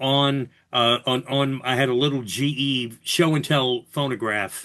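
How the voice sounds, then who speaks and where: A man with a New York accent speaks at a fairly slow pace and fairly high pitch. The background is quiet. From New York City (Bronx). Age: 60s. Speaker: radio host, podcast guest. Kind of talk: casual interview chat.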